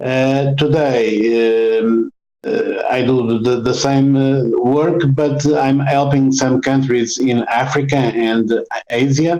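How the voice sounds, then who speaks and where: Very slow and fairly even in intonation, a man speaks with a Portuguese accent. His voice sits at a medium pitch with a dark, mellow tone. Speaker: road safety consultant. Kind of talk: interview. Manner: halting, many fillers.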